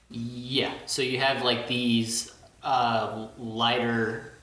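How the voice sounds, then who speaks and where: A man with an American accent speaks at a medium pitch. Noticeable background noise runs under his voice. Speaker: industrial engineer. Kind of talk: casual podcast guest talk.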